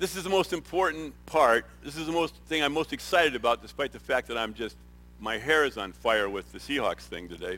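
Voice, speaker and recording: Bright and sharp in tone, a man with a fairly high pitch speaks at a fairly quick pace, using lively intonation and vocal fry. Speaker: retired business executive, nonprofit volunteer. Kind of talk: testimony. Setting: stage with audience. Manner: halting.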